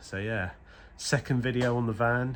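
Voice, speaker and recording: At a moderate pace, the man talks with a British accent. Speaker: car mechanic vlogger. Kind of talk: casual vlog. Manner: hesitant, filler-heavy.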